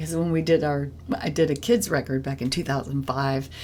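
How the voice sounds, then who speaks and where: This is a woman speaking. Her voice has vocal fry. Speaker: podcast host and musician. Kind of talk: casual interview chat. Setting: on a porch. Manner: halting, many fillers.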